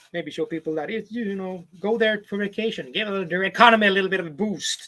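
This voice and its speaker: The voice is raised and projected, bright and sharp in tone, moving at a fairly quick pace with fairly even intonation and hardly any pauses. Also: man. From southern Sweden. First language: Swedish (also Spanish and English from childhood). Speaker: vlogger on a houseboat. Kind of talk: live stream chat reading viewer comments. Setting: home on houseboat, live stream with webcam. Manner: casual, hesitant with fillers.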